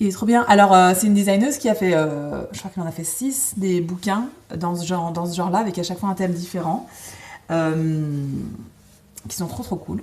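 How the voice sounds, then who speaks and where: Her somewhat breathy voice has ordinary pitch variation, and she leaves long, frequent pauses. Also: moderate pace. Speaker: cross-stitch video host. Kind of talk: casual chat. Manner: hesitant, many fillers.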